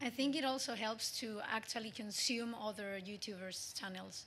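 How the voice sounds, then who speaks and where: Against noticeable background noise, a woman with a Spanish accent speaks at a fairly high pitch. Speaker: vlogger. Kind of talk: panel discussion.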